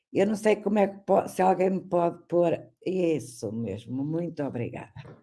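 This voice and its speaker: Speaking at a fairly slow pace, a woman with a medium pitch uses lively intonation in a dark, mellow tone with vocal fry. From Portugal. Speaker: history professor. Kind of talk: lecture.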